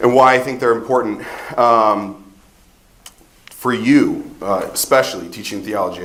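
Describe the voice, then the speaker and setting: A loud, medium-pitched man's voice with an American accent at a moderate pace, plus audible room echo and noticeable background noise. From Ohio, US Midwest. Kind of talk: conference talk.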